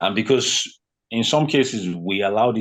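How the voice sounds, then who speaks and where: Recorded very cleanly against a silent background, a man with a Nigerian accent talks at a moderate pace with ordinary pitch variation. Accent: Nigerian (Yoruba) English. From Nigeria, western (Yoruba). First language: Yoruba. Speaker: fitness consultant. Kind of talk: podcast interview. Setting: podcast. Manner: animated, conversational with fillers.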